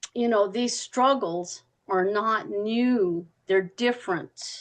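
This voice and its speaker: Her voice sits fairly high in pitch and shows ordinary pitch variation. The woman speaks at a very slow pace. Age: 70s. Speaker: member of activist group in meeting discussion. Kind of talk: group discussion on video call. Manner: halting, many fillers.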